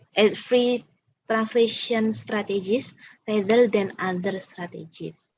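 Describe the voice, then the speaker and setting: A woman speaks very slowly in a fairly high, somewhat breathy voice. Her pitch variation is ordinary. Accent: Indonesian. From Indonesia. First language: Indonesian. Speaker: student presenter. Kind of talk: Q&A answers at academic seminar. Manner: halting.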